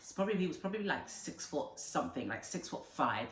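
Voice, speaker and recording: A woman in an animated tone, with audible room echo. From Nigeria. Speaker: vlogger. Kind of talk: casual storytelling vlog.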